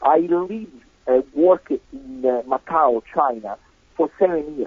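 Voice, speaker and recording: A fairly high-pitched man in an Italian accent, fairly slow, with very wide pitch swings. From Italy. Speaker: composer and sacred music expert. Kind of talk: interview conversation. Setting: remote call. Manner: hesitant with many fillers.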